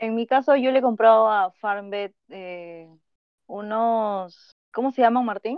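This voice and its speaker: Speaking very slowly at a fairly high pitch, the woman makes big swings in loudness. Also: ordinary pitch variation. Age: 20s. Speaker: veterinarian. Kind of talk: casual chat.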